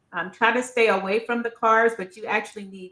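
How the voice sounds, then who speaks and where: A woman with an American accent and a bright, sharp tone at a fairly quick pace. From North Carolina. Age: 60s. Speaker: author. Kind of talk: interview.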